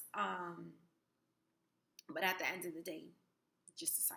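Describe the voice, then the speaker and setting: A woman's voice with audible room echo. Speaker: spirituality vlogger. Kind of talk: casual vlog talk. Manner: hesitant, many fillers.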